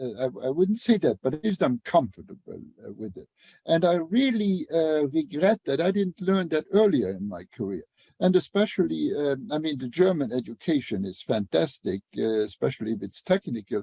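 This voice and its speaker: At a moderate pace, a man speaks at a fairly high pitch in a dark, mellow tone with very wide pitch swings, the sound dry and close with no echo. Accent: Luxembourgish. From Luxembourg. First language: Luxembourgish. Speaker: engineer and author. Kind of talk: podcast interview. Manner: halting, many fillers.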